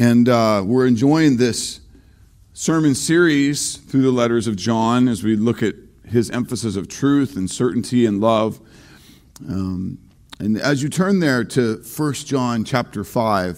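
A man at a fairly slow pace over a quiet background. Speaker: pastor. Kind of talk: sermon. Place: church.

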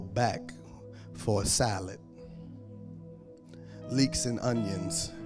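A man speaks while music plays clearly behind him. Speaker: preacher. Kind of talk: sermon. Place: stage. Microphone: handheld.

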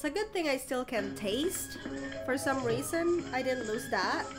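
A woman with a high, nasal voice speaks at a fairly slow pace with lively intonation, with audible room echo and faint music in the background.

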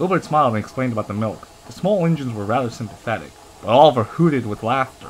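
Plain reading aloud carries lively intonation throughout.

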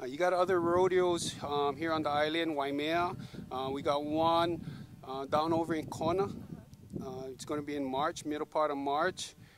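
A man with a fairly high pitch speaks in a monotone, flat intonation with long, frequent pauses. The sound is dry with no echo, but noticeable background noise is present. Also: moderate pace. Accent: Hawaiian. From Hawaii. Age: 40s. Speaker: rodeo cowboy. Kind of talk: casual interview; casual interview answer. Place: open country.

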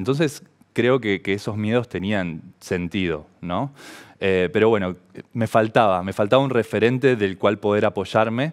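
At a moderate pace, a man with a fairly low pitch talks with ordinary pitch variation over a quiet background. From Argentina, Santa Fe province. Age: 30s. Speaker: professional volleyball player; interviewee. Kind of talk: personal testimony to camera. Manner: halting, many fillers. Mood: calm, reflective. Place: studio. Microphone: headset.

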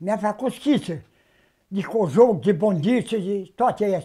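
Over a quiet background, a man speaks at a high pitch. His pace is fairly slow and his intonation lively. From Romania, Bukovina (Suceava county, rural); Romania. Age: 80s+. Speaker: traditional sheepskin coat maker. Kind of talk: interview, life story. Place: home room.

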